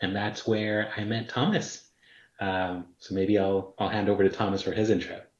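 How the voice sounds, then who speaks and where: In a fairly low, monotone voice with flat intonation, a man with an American accent speaks at a moderate pace. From Texas, US, Mexican background. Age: 30s. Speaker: prospective parent, banker. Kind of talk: interview.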